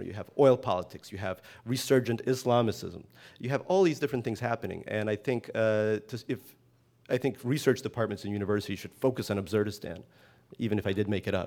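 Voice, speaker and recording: Speaking at a very fast pace, a man keeps a medium pitch. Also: ordinary pitch variation. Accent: American. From US, emigrated from Soviet Union at seven. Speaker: novelist. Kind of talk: interview. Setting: stage with live audience.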